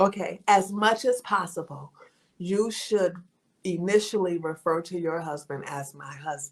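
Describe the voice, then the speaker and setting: A woman speaks at a fairly slow pace with a fairly low pitch, ordinary pitch variation, and big swings in loudness. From New Orleans and Sacramento, California. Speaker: coach. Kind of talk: coaching interview.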